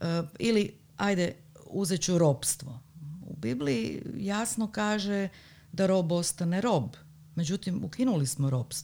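The voice has a dark, mellow tone, very wide pitch swings, and very even loudness at a fairly slow pace with long, frequent pauses. The recording is very clean, with a silent background. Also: woman, fairly low pitch for a woman. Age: 40s. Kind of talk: casual chat.

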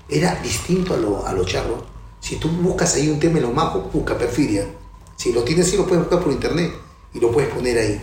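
A man's fairly high voice with lively intonation at a very fast pace, with audible room echo and noticeable background noise. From Peru, Callao. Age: 60s. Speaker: percussionist. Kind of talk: interview.

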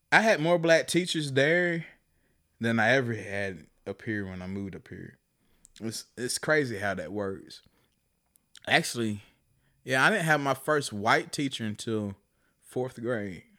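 Bright and sharp in tone, a man with a medium pitch speaks at a fairly slow pace with lively intonation and long, frequent pauses, recorded very cleanly against a silent background. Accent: American. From US South, Chattanooga, Tennessee. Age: 30s. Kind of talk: casual chat.

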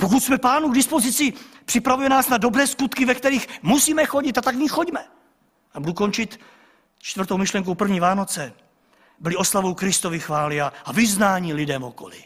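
A man speaks fairly quickly with a high voice. His pitch swings through a very wide range. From Czech village. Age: 40s. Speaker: pastor. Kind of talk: sermon.

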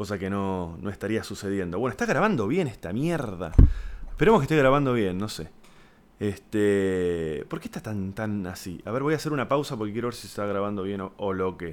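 Animated, fairly quick speech from a man with a Rioplatense accent, fairly low in pitch and lively in intonation. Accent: Argentine Rioplatense Spanish. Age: 30s. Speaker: podcast host, comedian. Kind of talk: casual monologue. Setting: home.

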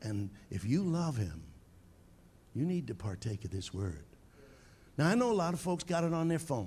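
In an animated, passionate tone, a man with an American accent speaks at a moderate pace and medium pitch, somewhat breathy, with very wide pitch swings and long, frequent pauses. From Long Island, New York. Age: 70s. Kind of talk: sermon. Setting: church with live audience and online viewers. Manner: animated, passionate, humorous.

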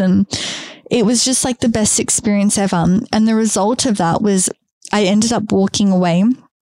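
With an Australian accent, a woman speaks at a moderate pace in a dark, mellow tone with fairly even intonation. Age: 30s. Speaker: podcast host. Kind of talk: solo podcast monologue.

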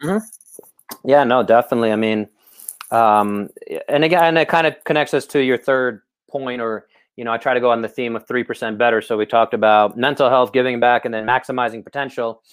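With an American accent and an ordinary speaking voice, a man speaks at a medium pitch and a fairly quick pace, with fairly even intonation, on a very clean recording with a silent background. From Brooklyn, New York. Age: 30s. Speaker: podcast host. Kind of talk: casual interview chat.

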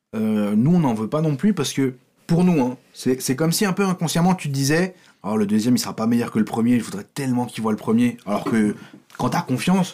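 A man's dark, mellow tone at a medium pitch, with lively intonation. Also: moderate pace. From France, Paris. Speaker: comedy writer. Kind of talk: casual chat.

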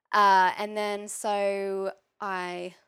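A woman's medium-pitched voice with an Australian accent, flat and monotone, on a very clean recording with a silent background. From Australia, Maitland NSW. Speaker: yoga teacher. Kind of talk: interview chat.

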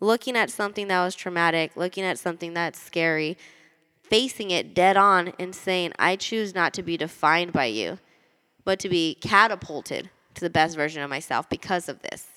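With a bright, sharp, animated tone, a woman talks at a moderate pace and with ordinary pitch variation. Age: 20s. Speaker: podcast host. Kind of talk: personal monologue. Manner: talkative.

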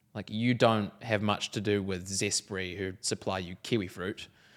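A man with a New Zealand accent, fairly low in pitch and monotone with flat intonation, at a moderate pace on a very clean recording with a silent background. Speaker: podcast co-host. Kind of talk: interview, being interviewed. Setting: studio.

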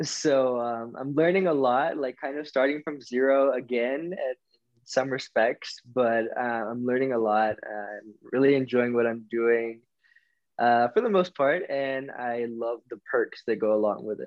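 A man with an American accent talks at a fairly slow pace in a normal speaking voice, medium in pitch with ordinary pitch variation. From US South, Florida and Alabama. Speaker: podcast guest, friend of host. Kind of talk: casual chat.

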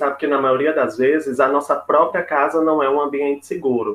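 Speaking fairly quickly, a man uses a plain, everyday voice pitched fairly high. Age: 20s. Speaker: psychology student and HIV activist. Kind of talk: panel discussion.

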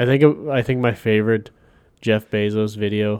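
This man's fairly low voice comes through on a very clean recording against a silent background. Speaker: podcast host. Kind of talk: casual banter chat. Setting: studio. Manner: joking, profane.

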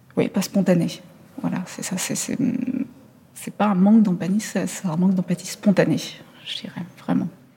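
A woman with a medium pitch and ordinary pitch variation speaks at a fairly slow pace. There is noticeable background noise. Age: 40s. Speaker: journalist. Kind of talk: interview. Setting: theatre lobby. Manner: halting.

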